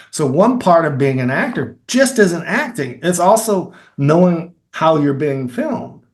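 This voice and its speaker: A man with an American accent and a high voice talks fairly slowly with hardly any pauses, his pitch swinging very widely. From Kentucky. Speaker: filmmaker and actor. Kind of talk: interview answer.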